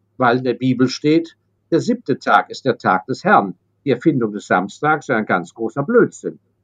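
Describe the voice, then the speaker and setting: A man with a normal speaking voice talks at a moderate pace and a medium pitch. His intonation is lively, and the sound is dry and close with no echo. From Germany, raised abroad (London, Hong Kong, Paris). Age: 60s. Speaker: investor. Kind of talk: interview.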